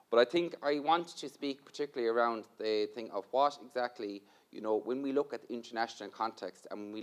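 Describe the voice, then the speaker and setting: At a very fast pace, a man with a medium pitch talks with ordinary pitch variation. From Ireland. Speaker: university equality programme manager. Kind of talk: conference panel talk.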